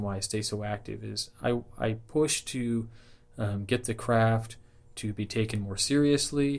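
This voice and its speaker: A man's plain, everyday voice at a medium pitch, with ordinary pitch variation, on a very clean recording with a silent background. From Southern California. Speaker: Freemason and podcaster. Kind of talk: interview.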